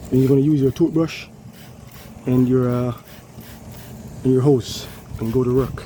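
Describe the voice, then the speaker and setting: Pauses come often and run long. Between them the delivery keeps a moderate speed, with noticeable background noise audible. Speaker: HVAC technician. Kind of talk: tutorial. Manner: casual.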